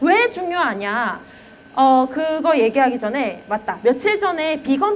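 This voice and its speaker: With a Gyeongsang accent, a woman speaks in a high pitch with very wide pitch swings over noticeable background noise. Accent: Gyeongsang dialect slips out. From Gyeongsang region, Korea. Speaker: elementary school teacher. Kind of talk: lecture. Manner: conversational, with fillers.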